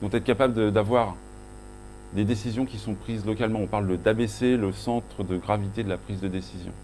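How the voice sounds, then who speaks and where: Someone speaks at a fairly quick pace with a Breton accent. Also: man. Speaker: conference speaker, agile coach. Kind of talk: conference talk. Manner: halting, many self-corrections and fillers.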